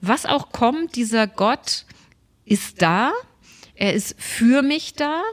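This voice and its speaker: Here a woman is speaking. Her pace is very slow. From Germany, Stuttgart (Swabia). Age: 50s. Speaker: pastor. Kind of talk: casual interview chat.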